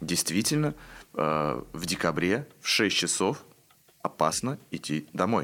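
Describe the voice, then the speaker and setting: A man speaks very slowly, leaving long, frequent pauses, in a very deep, low voice with vocal fry. His pitch swings very widely. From Obninsk, Russia. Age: 20s. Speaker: theater director. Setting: studio.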